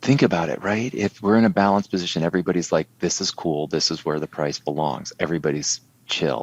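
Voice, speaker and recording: A man's very deep, low pitch with vocal fry, lively intonation and a very fast pace with hardly any pauses. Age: 60s. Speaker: trading educator. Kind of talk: casual interview.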